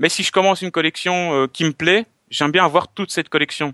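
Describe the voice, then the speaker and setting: A man speaks with a Belgian accent in a bright, sharp tone at a fairly quick pace. The background is quiet and the sound is dry and close, with no echo. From Belgium. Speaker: collector and video maker. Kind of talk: casual chat.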